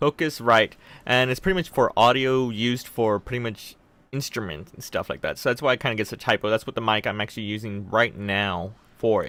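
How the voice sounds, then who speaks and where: Recorded very cleanly with a silent background and a dry, close sound with no echo, a man speaks in a bright, sharp tone at a medium pitch with ordinary pitch variation. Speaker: tech YouTuber. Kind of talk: casual chat. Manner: fast.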